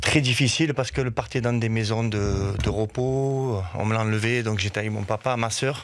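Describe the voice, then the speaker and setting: In a southern French accent, a man speaks at a moderate pace and medium pitch, with fairly even intonation and hardly any pauses. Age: 40s. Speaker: football coach. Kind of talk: radio interview.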